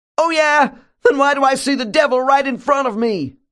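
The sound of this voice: In a put-on character voice, a man projects a shrill, extremely high-pitched voice at a moderate pace over a quiet background.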